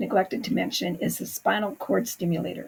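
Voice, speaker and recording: A woman is speaking. Her voice has vocal fry. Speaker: chronic pain recovery coach. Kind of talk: talking-head explainer. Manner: hesitant with fillers.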